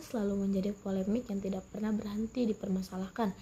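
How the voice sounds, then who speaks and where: A dark, mellow, somewhat breathy tone. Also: woman. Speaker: university student. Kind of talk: student presentation. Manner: formal; halting.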